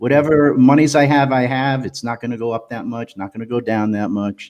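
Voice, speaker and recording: With a normal speaking voice, a man talks at a medium pitch. His pace is fairly quick and his intonation fairly even. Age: 60s. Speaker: poet. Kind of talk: casual chat. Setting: live stream.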